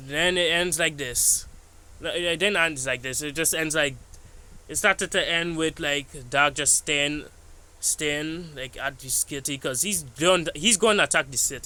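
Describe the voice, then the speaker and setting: A man speaks fairly slowly in a fairly high, bright, sharp tone. His pitch varies in an ordinary way. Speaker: YouTuber recapping an animation episode. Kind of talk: casual video commentary. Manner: halting, stuttering; casual, filler-heavy.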